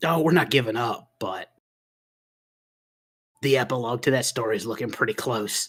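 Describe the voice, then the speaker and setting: A man's put-on character voice, raspy and medium-pitched, at a moderate pace broken by long, frequent pauses. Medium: actual play. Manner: gruff, laconic.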